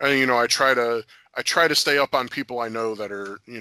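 On a very clean recording with a silent background, a man with an American accent speaks at medium pitch and a moderate pace. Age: 30s. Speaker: former pro wrestler and MMA fighter. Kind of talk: casual interview. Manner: halting with frequent fillers.

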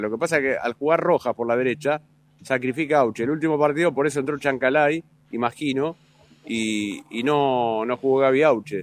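In a dry, close sound with no echo, a man speaks at a fairly quick pace and medium pitch with ordinary pitch variation. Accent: Rioplatense. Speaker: football commentator. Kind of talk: casual radio analysis.

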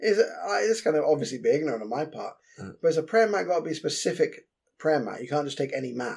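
Someone with a London accent talks at a very fast pace, with vocal fry and very wide pitch swings. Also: man, fairly high pitch for a man. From London, East End. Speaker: podcast co-host. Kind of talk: casual chat.

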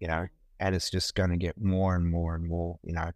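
A man talks with an Australian accent at a very deep, low pitch. The sound is dry and close with no echo. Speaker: photographer. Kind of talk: casual chat. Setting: video call.

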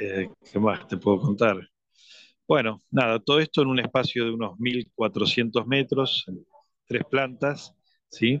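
Over a quiet background, a man speaks at a fairly slow pace and medium pitch with fairly even intonation, the sound dry and close with no echo. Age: 60s. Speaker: business owner. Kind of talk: radio interview. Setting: phone line. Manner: halting.

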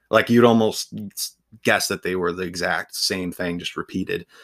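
Talking at a moderate pace with ordinary pitch variation, a man with an American accent has a plain, everyday voice. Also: very clean recording, silent background. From Ohio, US. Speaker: author and book video creator. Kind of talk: casual interview chat.

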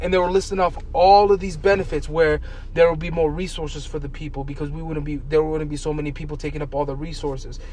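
Talking at a very fast pace, a man with a fairly high pitch keeps his intonation fairly even, amid audible room echo and noticeable background noise. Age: 20s. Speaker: podcast co-host. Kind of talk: casual chat.

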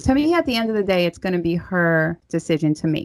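A woman with a New York accent at a medium pitch, in a very clean recording with a silent background and a dry, close sound with no echo. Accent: New York (Staten Island). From Staten Island, New York. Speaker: podcast host. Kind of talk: casual interview.

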